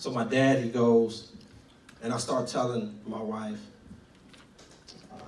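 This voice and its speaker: In an American accent, a man with a medium pitch speaks at a fairly slow pace, with audible room echo and noticeable background noise. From Tulsa, Oklahoma. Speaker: guest preacher. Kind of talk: testimony.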